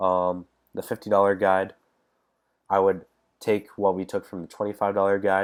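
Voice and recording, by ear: A man speaks at a low pitch and a moderate pace with a nasal sound. His pitch moves little.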